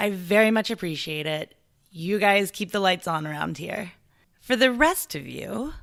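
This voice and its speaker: A woman's unremarkable speaking voice at medium pitch, lively intonation, on a very clean recording with a silent background. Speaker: podcast host. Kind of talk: podcast intro and fundraising appeal.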